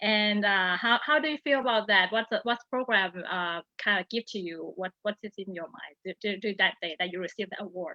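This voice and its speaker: A woman with a Thai accent, talking at a fairly quick pace. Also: medium pitch for a woman, ordinary pitch variation, hardly any pauses. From Thailand. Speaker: program committee moderator. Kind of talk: interview. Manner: halting.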